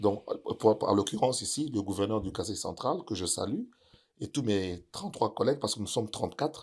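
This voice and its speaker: A man's plain, everyday voice, fairly low in pitch with ordinary pitch variation, at a fairly quick pace on a very clean recording with a silent background. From DR Congo, Kinshasa. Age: 60s. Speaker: music producer and provincial politician. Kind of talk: interview.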